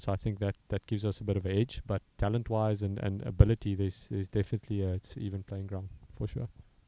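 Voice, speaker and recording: A man with a South African accent speaks very fast in a monotone, flat intonation, his tone dark and mellow and his pitch fairly low. The recording is very clean, with a silent background and a dry, close sound with no echo. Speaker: strength and conditioning coach. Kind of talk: interview. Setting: commentary box. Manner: halting.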